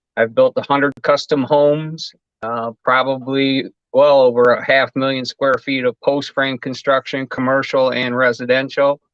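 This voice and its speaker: Speaking with an Upper Midwest accent, a man keeps a medium pitch, a moderate pace and monotone, flat intonation. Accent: Upper Midwest American. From Michigan. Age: 60s. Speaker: home builder. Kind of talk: interview. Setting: live stream.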